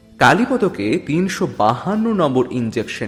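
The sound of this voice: This is an unforced reading voice. The words are simply read aloud.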